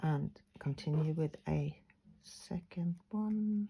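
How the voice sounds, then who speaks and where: With lively intonation, a woman talks in a somewhat breathy voice. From Sweden. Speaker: craft tutor. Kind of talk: tutorial.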